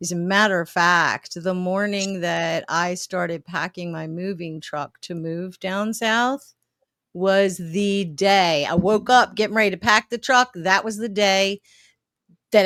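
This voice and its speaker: Speaking fairly slowly with an American accent, a woman has a bright, sharp tone, medium pitch and ordinary pitch variation. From Baltimore, Maryland. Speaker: podcast host. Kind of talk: interview.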